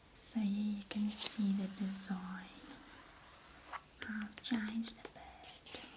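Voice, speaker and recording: Soft-spoken, gentle-toned speech at a very slow pace, flat and monotone, with long, frequent pauses and noticeable background noise. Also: woman, medium pitch for a woman. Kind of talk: ASMR roleplay, teacher explaining a history book. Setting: close-up ASMR recording. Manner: very soft, gentle, slow.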